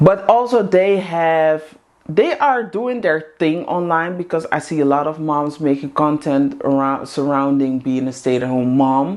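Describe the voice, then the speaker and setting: With a Dutch accent, a woman talks at a moderate pace in a very deep, low voice. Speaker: vlogger, housewife community host. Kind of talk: casual monologue to camera. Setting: in front of a camera.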